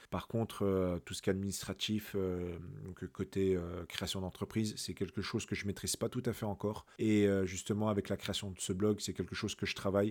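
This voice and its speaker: This man talks at a fairly quick pace in a fairly low pitch, his intonation flat and monotone. The recording is very clean, with a silent background. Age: 30s. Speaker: podcast host, digital freelancer. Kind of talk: casual monologue. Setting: solo at microphone. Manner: hesitant, many fillers.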